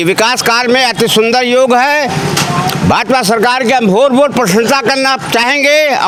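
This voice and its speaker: Heard with audible room echo and noticeable background noise, a man speaks with ordinary pitch variation. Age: 70s. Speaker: retired government employee, street interviewee. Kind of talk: street vox pop interview. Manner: animated.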